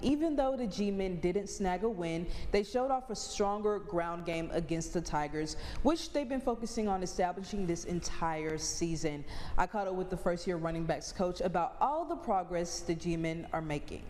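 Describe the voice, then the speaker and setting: Over noticeable background noise, a woman with a medium pitch and lively intonation talks at a moderate pace. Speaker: sports reporter. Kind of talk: sports news anchor read.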